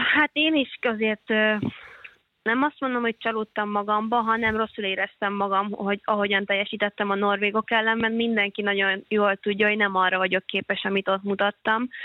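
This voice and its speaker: A woman's medium-pitched voice at a fairly quick pace, with fairly even intonation, very even loudness, and music in the background. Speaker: handball player. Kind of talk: interview. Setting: phone call. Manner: hesitant, filler sounds.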